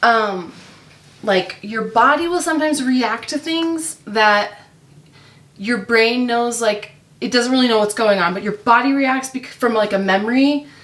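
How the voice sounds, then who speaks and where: A woman with an ordinary speaking voice talks at a moderate pace. Her pitch is fairly high and varies in an ordinary way. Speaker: mom vlogger and online reseller. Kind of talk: casual chat while working. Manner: chatty, many fillers.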